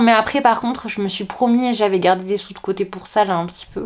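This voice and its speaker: A medium-pitched woman at a moderate pace, with fairly even intonation and noticeable background noise. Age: 30s. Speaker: teacher and book vlogger. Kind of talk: casual vlog chat. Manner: hesitant, many fillers.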